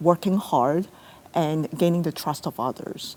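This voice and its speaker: A woman's fairly low-pitched voice, with fairly even intonation at a fairly slow pace. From came to Canada at age ten, immigrant. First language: not English. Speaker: city lawyer and executive. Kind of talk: interview on stage at virtual event. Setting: theatre stage. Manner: hesitant with fillers.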